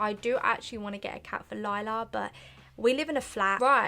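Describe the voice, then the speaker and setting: A woman with a London accent, a fairly high pitch, a bright, sharp tone, and a fairly quick pace. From South London. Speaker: YouTuber, young mother. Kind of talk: casual chat to camera, Q&A. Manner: chatty, hesitant with fillers.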